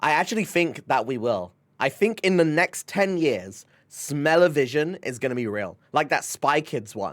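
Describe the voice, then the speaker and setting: A man with a fairly high pitch, an animated tone, very wide pitch swings and a moderate pace, in a very clean recording with a silent background. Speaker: streamer. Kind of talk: casual chat. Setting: live stream.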